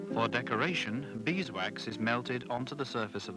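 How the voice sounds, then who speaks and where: A man's medium-pitched voice is heard over music in the background. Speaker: documentary narrator. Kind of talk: documentary narration. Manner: soft-spoken.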